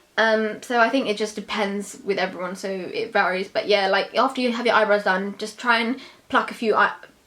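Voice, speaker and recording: A woman with a London accent, fairly quick and hardly pausing, with fairly even intonation over noticeable background noise. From London, England. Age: 20s. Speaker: beauty YouTuber. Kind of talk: Q&A vlog. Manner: casual, hesitant with fillers.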